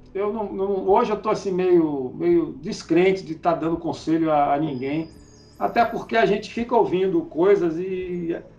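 A man with a high pitch at a moderate pace. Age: 50s. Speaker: cattle and goat farmer. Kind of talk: casual interview.

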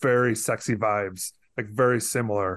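Over a quiet background, a man with a plain, everyday voice speaks at a fairly slow pace with fairly even intonation. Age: 40s. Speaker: podcast host. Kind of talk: casual chat.

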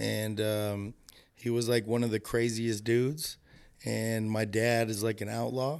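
A man with a Southern Californian accent speaks at a fairly slow pace in a medium pitch, his intonation monotone and flat. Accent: Southern California American. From Los Angeles, US (North Hollywood). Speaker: photographer. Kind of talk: casual interview. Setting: indoor room, window open to outside.

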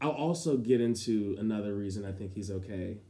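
A man talks with ordinary pitch variation, and audible room echo hangs around his voice. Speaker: podcast co-host. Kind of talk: casual chat. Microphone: poor audio environment.

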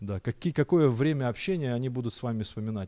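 This man's medium-pitched voice has a dark, mellow tone and lively intonation at a fairly quick pace. The sound is dry and close with no echo, a very clean recording on a silent background. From Kazakhstan, Almaty. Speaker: bishop. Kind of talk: sermon. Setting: church.

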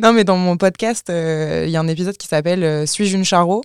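A woman with a plain, everyday voice talks at medium pitch and a moderate pace, her intonation fairly even, in a dry, close sound with no echo on a very clean recording with a silent background. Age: 20s. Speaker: content creator and podcaster. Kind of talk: casual chat.

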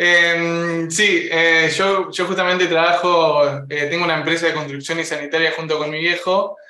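With hardly any pauses, a man talks at a moderate pace in a high voice, his intonation monotone and flat, over noticeable background noise. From Uruguay. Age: 20s. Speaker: content creator. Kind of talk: casual chat.

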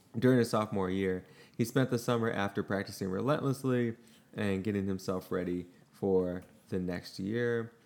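A man's plain, everyday voice, fairly low in pitch, with fairly even intonation at a moderate pace. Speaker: podcast host. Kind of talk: casual chat.

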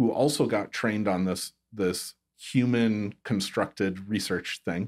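Heard in a very clean recording with a silent background, a man with an ordinary speaking voice speaks at a fairly low pitch with ordinary pitch variation. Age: 40s. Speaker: chiropractor and health tech entrepreneur. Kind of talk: casual interview.

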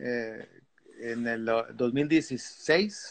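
A man speaks with ordinary pitch variation. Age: 60s. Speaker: veteran surfer. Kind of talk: casual interview.

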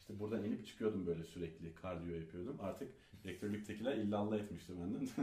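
Audible room echo surrounds a man's somewhat breathy, fairly low-pitched voice, dark and mellow in tone, moving at a fairly quick pace with ordinary pitch variation. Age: 30s. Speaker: author and entrepreneur. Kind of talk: interview.

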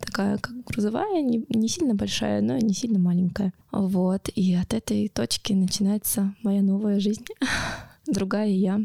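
A woman with a normal speaking voice talks at a fairly slow pace and medium pitch, with ordinary pitch variation, very even loudness and dry, close sound with no echo. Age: 30s. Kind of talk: personal testimony interview. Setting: studio.

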